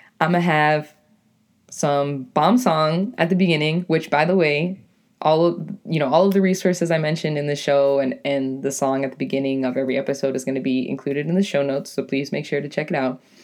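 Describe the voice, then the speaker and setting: With a New England accent, a woman talks at a fairly quick pace in a very deep, low pitch, with ordinary pitch variation and an animated tone. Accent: New England American. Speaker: podcaster and poet. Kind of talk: casual monologue.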